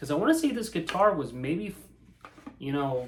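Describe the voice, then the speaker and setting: A man with an American accent speaks at a moderate pace and a high pitch. Audible room echo and noticeable background noise surround his voice. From Indiana, US Midwest. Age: 30s. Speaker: guitar reviewer. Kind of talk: casual chat. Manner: animated; halting.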